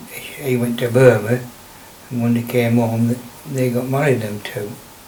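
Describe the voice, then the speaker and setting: Noticeable background noise and audible room echo surround this man's voice. He speaks at a moderate pace in a flat monotone. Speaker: local elder recalling childhood. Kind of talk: oral history interview. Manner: halting.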